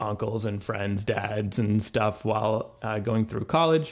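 At a fairly slow pace, a man with an ordinary speaking voice talks at a medium pitch with fairly even intonation. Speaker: guest designer and developer. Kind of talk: casual interview chat.

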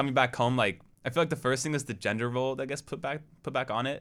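Talking at a very fast pace with an American accent, a man uses a medium pitch and ordinary pitch variation. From Portland, Oregon. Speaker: college student podcast host. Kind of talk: casual chat.

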